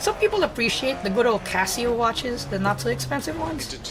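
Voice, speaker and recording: A woman talking at a very fast pace over background music. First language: not English. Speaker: gaming streamer, vtuber. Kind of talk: casual live-stream chat while gaming. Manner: halting, self-correcting.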